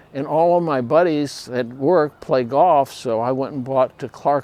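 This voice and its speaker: With an American accent, a man talks at a very slow pace and uses ordinary pitch variation. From Chicago, USA. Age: 70s. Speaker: retired photographer and printing manager. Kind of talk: casual talk to camera.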